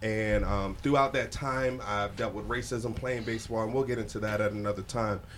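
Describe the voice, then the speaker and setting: In a room with audible echo, a man with a fairly low voice talks at a fairly quick pace with hardly any pauses and fairly even intonation. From Philadelphia, South Philly. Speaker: podcast host. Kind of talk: casual chat.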